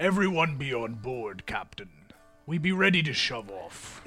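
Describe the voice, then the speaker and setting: A man's put-on character voice at a medium pitch, with very wide pitch swings and a moderate pace. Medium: actual play. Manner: curt.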